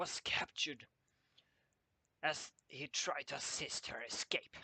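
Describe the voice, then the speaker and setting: A man speaks in a put-on character voice that is raspy and fairly high-pitched, at a fairly slow pace. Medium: read story. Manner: gruff, broken grammar.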